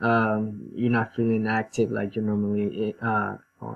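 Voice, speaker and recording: Speaking at a moderate pace with a non-native accent, a man talks against a quiet background. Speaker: student. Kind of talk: class presentation. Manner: halting, many fillers.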